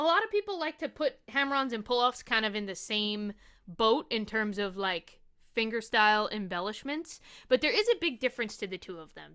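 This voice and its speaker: On a very clean recording with a silent background, a woman with a New York accent talks at a fairly quick pace in a fairly high, bright, sharp voice, her intonation lively and her loudness swinging widely. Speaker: ukulele teacher. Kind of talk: tutorial.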